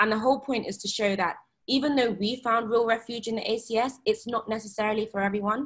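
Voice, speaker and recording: A somewhat breathy voice at a fairly quick pace, fairly even intonation and a quiet background. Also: woman, fairly high pitch for a woman. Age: 20s. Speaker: graduate and policy adviser; panelist. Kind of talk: panel discussion. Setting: video call. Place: home room. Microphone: video call.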